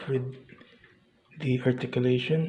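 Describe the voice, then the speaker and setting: Monotone, flat intonation marks the way this man speaks. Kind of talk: casual talk to camera, model kit review. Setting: indoors, recorded quietly early in the morning. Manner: whispered, soft-spoken.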